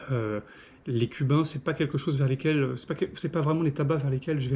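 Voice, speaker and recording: This man talks at a fairly quick pace with a fairly high pitch, a dark, mellow tone, somewhat breathy delivery and fairly even intonation. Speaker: pipe and cigar reviewer. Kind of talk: casual product review monologue. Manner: fast; hesitant, many fillers.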